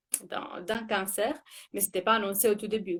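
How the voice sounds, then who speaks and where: A woman's voice with an Italian accent. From Italy. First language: Italian (speaking French). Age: 30s. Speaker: former cancer patient. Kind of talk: interview on a live stream. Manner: hesitant, many fillers and repetitions.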